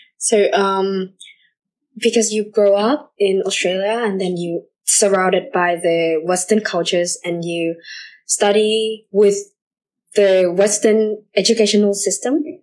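Speaking with a Vietnamese accent, a woman uses fairly even intonation and takes long, frequent pauses. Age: young. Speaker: student podcast host. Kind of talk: casual interview.

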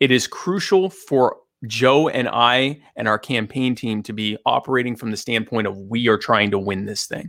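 A man with a medium-pitched, unremarkable speaking voice and ordinary pitch variation, on a very clean recording with a silent background. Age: 30s. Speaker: vice presidential candidate. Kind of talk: interview.

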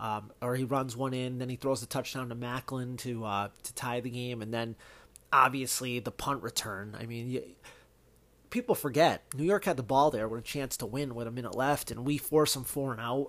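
In an unremarkable speaking voice with an American accent, a man speaks at medium pitch with fairly even intonation on a very clean recording with a silent background. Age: 30s. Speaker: sports podcast host. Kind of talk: solo sports commentary. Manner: casual, lots of fillers.

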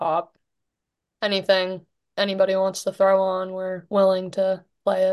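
A woman speaks at a moderate pace. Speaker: college hockey player.

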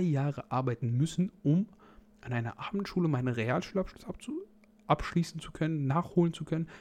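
A man talks at a moderate pace with a fairly high pitch and ordinary pitch variation. His tone is dark and mellow. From Germany, North Rhine-Westphalia. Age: 20s. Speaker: fitness podcast host and fitness trainer. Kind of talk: solo podcast monologue. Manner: casual.

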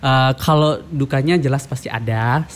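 A man talks in a somewhat breathy voice, his pitch varying in an ordinary way. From Lombok, Indonesia. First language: Sasak (Lombok language) (speaking Indonesian). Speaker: language ambassador. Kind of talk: podcast interview.

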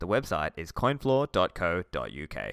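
A man with an Australian accent and a bright, sharp tone, lively intonation, on a very clean recording with a silent background and a dry, close sound with no echo. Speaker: podcast host. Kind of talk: interview.

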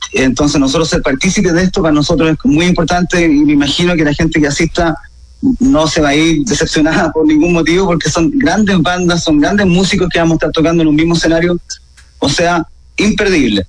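A man rattles along very fast in a high voice, his pitch varying in an ordinary way. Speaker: rock musician. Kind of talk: radio interview.

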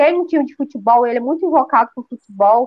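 A woman talks at a moderate pace. Her high voice carries lively intonation. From Goiás, Brazil. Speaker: agronomist and amateur runner. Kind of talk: podcast interview.

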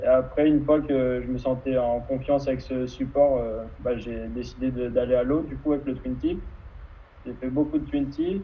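A man talks at a moderate pace, his voice carrying audible room echo. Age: 20s. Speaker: kitesurfer and student. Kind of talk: interview. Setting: live video stream.

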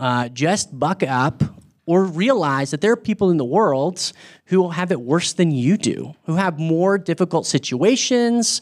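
A man speaks with an American accent in an unremarkable speaking voice and lively intonation. The recording is very clean, with a silent background. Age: 30s. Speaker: campus ministry speaker. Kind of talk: sermon. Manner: casual, with many filler words.

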